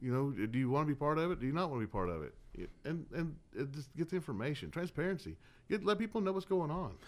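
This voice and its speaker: This man talks at a very fast pace with a Southern US accent. His pitch is fairly high and swings very widely. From Georgia (Dallas), US South. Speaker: political candidate. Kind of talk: radio interview.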